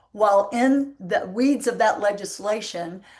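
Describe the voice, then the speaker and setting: Woman with a strong Southern US accent and ordinary pitch variation. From US Deep South. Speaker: panel moderator, entrepreneur. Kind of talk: panel discussion moderation.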